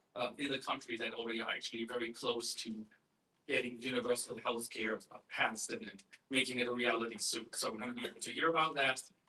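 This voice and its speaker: A man at medium pitch rattles along at a very fast pace in a monotone, flat delivery. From Germany. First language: German. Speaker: activist group chair. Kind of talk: conference welcome speech. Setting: conference stage with audience. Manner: halting, many fillers. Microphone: poor recording quality.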